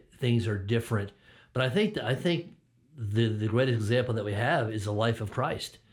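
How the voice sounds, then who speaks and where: On a very clean recording with a silent background, a man with a medium-pitched, somewhat breathy voice speaks at a fairly quick pace with ordinary pitch variation. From Connecticut, US. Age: 50s. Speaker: former pastor. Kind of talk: interview. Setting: church studio, video recording. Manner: halting, many fillers.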